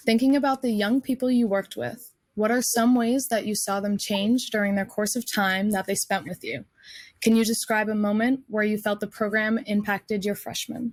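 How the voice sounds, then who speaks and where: A woman's somewhat breathy, fairly high voice at a moderate pace, in a very clean recording with a silent background. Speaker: panel moderator, college student. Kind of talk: panel moderation.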